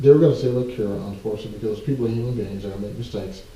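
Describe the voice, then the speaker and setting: A man with an American accent and ordinary pitch variation, in audible room echo. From US South, central Georgia. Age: 50s. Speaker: civil rights organization leader. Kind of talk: interview.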